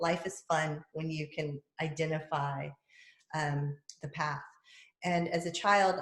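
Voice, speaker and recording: A woman with an American accent and a very deep, low pitch talks at a fairly slow pace, somewhat breathy and monotone, with long, frequent pauses. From US South. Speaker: podcast host and public speaker. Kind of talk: casual chat.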